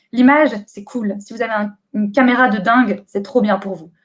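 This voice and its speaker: A woman is speaking. Her pitch sits fairly high. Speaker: booktuber and bookseller giving a talk. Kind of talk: online conference presentation. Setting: live webcam stream from home. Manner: hesitant with many euh.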